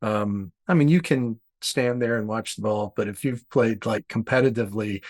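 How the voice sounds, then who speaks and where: In an unremarkable speaking voice, a man talks at a moderate pace and medium pitch with ordinary pitch variation, the sound dry and close with no echo. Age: 60s. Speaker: art educator and podcast host. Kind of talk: casual chat.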